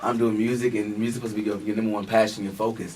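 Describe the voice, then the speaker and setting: A man speaks with an American accent at a medium pitch. The recording has audible room echo. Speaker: reality TV cast member and R&B pop artist. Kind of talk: radio interview.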